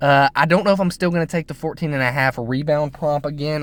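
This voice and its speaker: This is a man talking. His pace is fairly quick. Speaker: sports betting youtuber. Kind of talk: casual picks commentary. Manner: fast.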